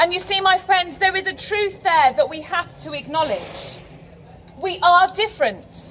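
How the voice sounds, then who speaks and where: A woman talks at a moderate pace in a raised, projected voice with ordinary pitch variation, over noticeable background noise. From England. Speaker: priest. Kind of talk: vigil speech. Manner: formal.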